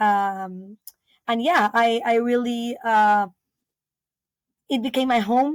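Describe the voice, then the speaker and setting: A woman's fairly high voice with a Spanish accent, very even loudness, a very slow pace and long, frequent pauses. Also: ordinary pitch variation. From Peru (Lima). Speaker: biologist and eco-lodge founder. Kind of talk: interview. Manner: halting, many fillers.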